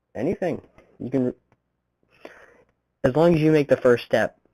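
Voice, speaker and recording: The speech is mumbled at a moderate pace. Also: man, dry, close sound with no echo. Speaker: vlogger. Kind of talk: casual vlog monologue. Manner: mumbling, fumbles words.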